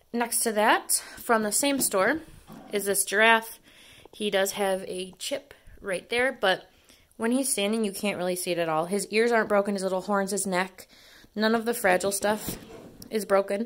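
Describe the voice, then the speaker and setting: Her pitch varying in an ordinary way, a woman talks at a moderate pace. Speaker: dumpster diving vlogger. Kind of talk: casual haul vlog chat. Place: home room. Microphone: phone near.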